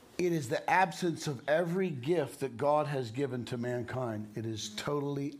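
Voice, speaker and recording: With audible room echo, a man speaks at a moderate pace and medium pitch. He uses hardly any pauses and ordinary pitch variation. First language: English (speaking German). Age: 60s. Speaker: preacher. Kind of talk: sermon.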